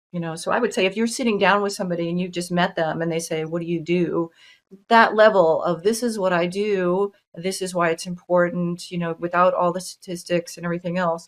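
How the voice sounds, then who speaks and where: At a fairly quick pace, a woman with a fairly low pitch speaks in an ordinary speaking voice, keeping her intonation fairly even. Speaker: TEDx course instructor and event organizer. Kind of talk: webinar presentation and Q&A.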